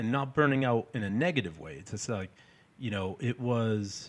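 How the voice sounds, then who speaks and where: On a very clean recording with a silent background, a man with an American accent speaks in a plain, everyday voice at a moderate pace with ordinary pitch variation. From North Shore, Massachusetts (Peabody). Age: 40s. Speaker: chef and meal prep business owner. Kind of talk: casual interview.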